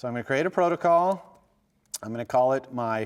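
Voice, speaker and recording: A man talks at a fairly quick pace in a normal speaking voice with lively intonation. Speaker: university lecturer. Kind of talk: lecture.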